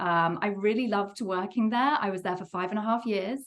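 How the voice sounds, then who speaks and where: A woman with an English accent and a medium pitch. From England, Worcester. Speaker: game studio co-founder and producer. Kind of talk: interview.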